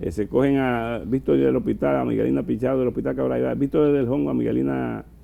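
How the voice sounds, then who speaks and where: At a fairly quick pace, a man talks with hardly any pauses. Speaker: doctor, former health minister. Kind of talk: TV interview. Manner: fast.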